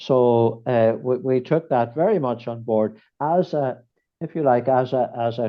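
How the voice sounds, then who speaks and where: A man talks at a fairly slow pace and a medium pitch. His pitch varies in an ordinary way. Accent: Northern Irish. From Ireland, County Fermanagh. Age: 70s. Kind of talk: podcast interview. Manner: hesitant, many repetitions and fillers.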